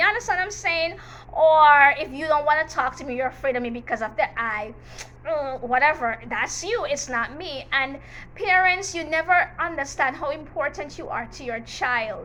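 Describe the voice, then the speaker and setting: A woman's high, bright, sharp voice in a Jamaican accent, raised and projected, animated and lively in intonation, at a moderate pace with big swings in loudness. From Jamaica, Manchester parish. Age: 40s. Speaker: teacher and YouTuber. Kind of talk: storytime vlog, personal testimony. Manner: animated, emphatic.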